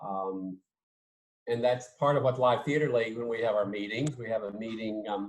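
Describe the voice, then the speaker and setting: In an American accent, the speaker has an unremarkable speaking voice, a moderate pace and fairly even intonation. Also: man, medium pitch for a man. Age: 60s. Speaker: theatre professor. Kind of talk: casual interview.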